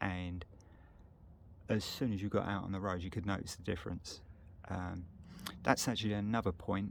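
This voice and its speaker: This man speaks with a British accent. His pitch is fairly low. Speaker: motorcycle vlogger. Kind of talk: casual walkaround video. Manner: monotone; hesitant, many fillers.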